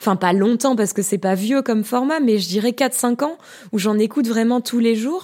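A woman speaks at a fairly quick pace with ordinary pitch variation and a fairly high pitch. Her tone is dark and mellow, and the recording is very clean with a silent background. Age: 30s. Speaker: podcaster and art historian. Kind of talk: casual interview.

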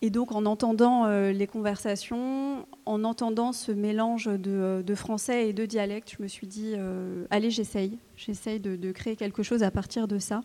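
Her tone dark and mellow, a woman speaks at a fairly slow pace in a fairly high pitch with monotone, flat intonation. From France, of Algerian Kabyle parents. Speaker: novelist. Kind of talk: literary panel talk. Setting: stage with audience.

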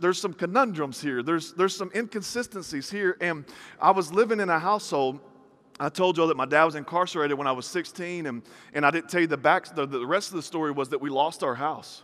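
A man speaks very fast at a high pitch in an animated tone. The sound is bright and sharp, with ordinary pitch variation. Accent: Southern US. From US South. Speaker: preacher. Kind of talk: sermon.

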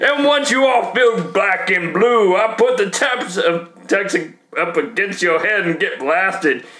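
A man's raised, projected voice, high-pitched with lively intonation, at a fairly slow pace over background music. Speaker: podcast host and rapper. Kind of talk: casual banter podcast, comedic rapping.

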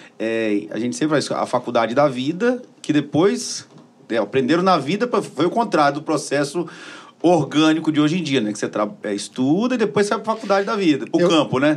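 A man speaks at a fairly quick pace, his fairly high pitch swinging very widely. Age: 60s. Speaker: podcast host. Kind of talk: interview. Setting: studio.

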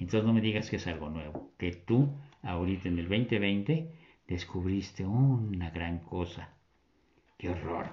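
A man's very deep, low voice, animated and somewhat breathy, with lively intonation at a fairly slow pace. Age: 70s. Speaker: religious commentator. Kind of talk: casual talk on religious themes.

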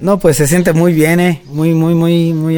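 Fairly high in pitch, a man uses an ordinary speaking voice at a fairly slow pace. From Mexico, Yucatán. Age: 20s. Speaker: rodeo roper and cattle trader. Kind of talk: interview.

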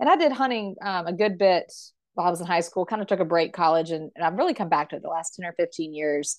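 Against a quiet background, a woman with a South Carolina accent speaks at a fairly low pitch with ordinary pitch variation. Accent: US Southern (South Carolina). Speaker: hunter and volunteer. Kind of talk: interview.

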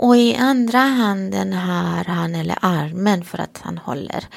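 A woman with a Romanian accent speaks at a very slow pace. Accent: Romanian-accented Swedish. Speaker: priest. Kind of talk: casual chat.

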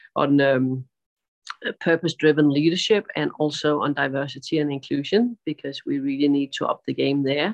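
Moderate speed and ordinary pitch variation in a woman's very deep, low voice. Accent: Danish. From Denmark. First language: Danish. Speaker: sustainability advisor and gender equality advocate. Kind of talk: interview. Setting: video call, outdoors on a terrace.

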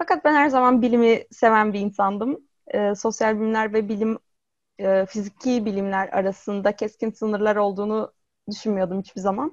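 Against a quiet background, a woman with an ordinary speaking voice talks at a moderate pace and fairly high pitch, with ordinary pitch variation and a dry, close sound with no echo. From Izmir, Turkey. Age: 20s. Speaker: robot psychologist. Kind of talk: interview.

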